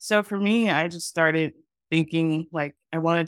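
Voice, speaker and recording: A woman's plain, everyday voice, fairly low in pitch, at a moderate pace, with a dry, close sound and no echo. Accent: American. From Texas. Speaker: actress and screenwriter. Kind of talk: casual panel discussion. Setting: video call.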